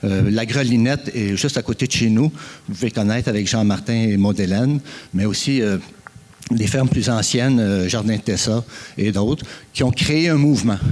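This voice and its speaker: The speech comes with long, frequent pauses. Noticeable background noise runs underneath. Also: man. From Quebec, Eastern Townships (Frelighsburg). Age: 60s. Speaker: farmer and forest producer, conference speaker. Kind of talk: conference talk. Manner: hesitant, many fillers.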